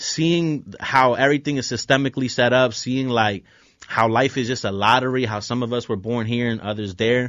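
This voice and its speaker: A man speaks at a moderate pace with a medium pitch and fairly even intonation, in an unremarkable speaking voice. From Philadelphia, moved around a lot as a child. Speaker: musician. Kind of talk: casual interview.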